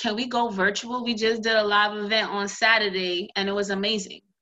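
An unremarkable speaking voice from a woman, medium pitch, moderate pace. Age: 20s. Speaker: social worker and nonprofit founder. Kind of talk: casual interview chat.

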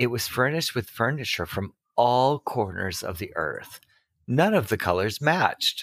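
This very clean recording has a silent background. A man speaks with very wide pitch swings. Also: medium pitch for a man, moderate pace, dry, close sound with no echo. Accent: American. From Massachusetts. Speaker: podcast co-host, romance book reviewer. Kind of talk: casual chat, book discussion with reading aloud. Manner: halting, speech impediment.

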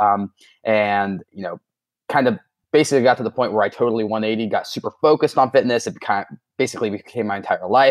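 The speech comes at a very fast pace with ordinary pitch variation. The sound is dry and close with no echo, over a quiet background. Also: man. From Ohio, US. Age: 20s. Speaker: online fitness coach. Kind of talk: casual interview chat.

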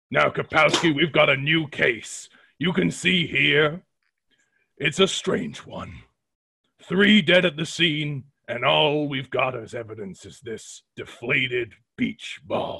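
A man puts on a raspy character voice, pitched fairly high, with lively intonation, big swings in loudness and a fairly slow pace. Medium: audio drama. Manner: gruff, blunt.

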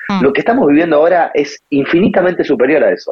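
The speech is very fast, with lively intonation. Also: man. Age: 30s. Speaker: digital parenting columnist. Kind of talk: casual interview.

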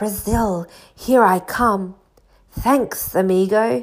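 Using a put-on character voice, a woman hisses her words at a very slow pace and a medium pitch. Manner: hissing.

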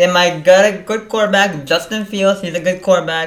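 A raised, projected voice cuts through noticeable background noise. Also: man. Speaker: co-host.

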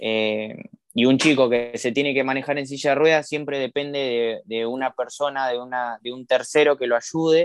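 At a moderate pace, a man speaks at a medium pitch with fairly even intonation, his voice dry and close with no echo. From Argentina, Campana, Buenos Aires province. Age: 20s. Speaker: para-athlete, swimmer and rower. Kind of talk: interview. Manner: halting, many fillers and repetitions.

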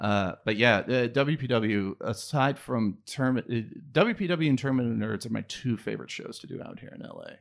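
A man with an American accent speaks at a moderate pace in a normal speaking voice. His medium pitch shows ordinary pitch variation, while his loudness swings widely. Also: hardly any pauses. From Ohio. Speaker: comedian, writer and actor. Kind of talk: casual chat.

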